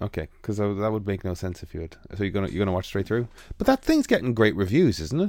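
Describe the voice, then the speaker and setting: With an Irish accent, a man speaks very fast at a fairly low pitch with ordinary pitch variation. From Ireland. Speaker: illustrator and podcast host. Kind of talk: casual chat.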